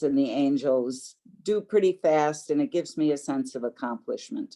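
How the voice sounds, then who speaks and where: Her pace is fairly slow. The woman has a very deep, low-pitched voice. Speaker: exhibitor showing handicrafts. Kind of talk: casual presentation. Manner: soft-spoken.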